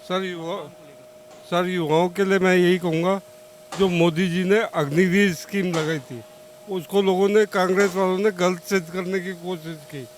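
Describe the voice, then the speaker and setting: This man's voice is high-pitched with fairly even intonation, and background noise is noticeable. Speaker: ex-air force serviceman, voter in street interview. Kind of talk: street vox pop interview. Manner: halting.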